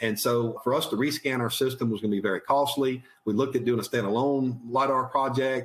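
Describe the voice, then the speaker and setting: With very even loudness and hardly any pauses, a man speaks at a fairly quick pace and a medium pitch. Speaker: utility vegetation manager. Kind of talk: webinar presentation. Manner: fast; halting, repeats words.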